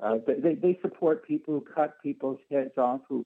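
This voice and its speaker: With a Canadian accent, a man talks in an unremarkable speaking voice at a moderate pace, with ordinary pitch variation. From Canada, Ottawa. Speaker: caller. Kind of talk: call-in opinion. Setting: phone call.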